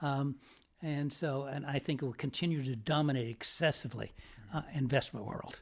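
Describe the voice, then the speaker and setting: Somewhat breathy, a man with an American accent speaks at a fairly high pitch. He keeps a moderate pace. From Northern California. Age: 70s. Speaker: finance professor. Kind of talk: interview. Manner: halting.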